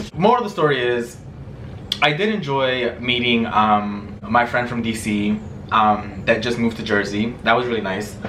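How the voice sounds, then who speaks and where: Amid noticeable background noise and audible room echo, a man with a medium pitch speaks in an animated tone with lively intonation. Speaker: vlogger. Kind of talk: casual vlog chat.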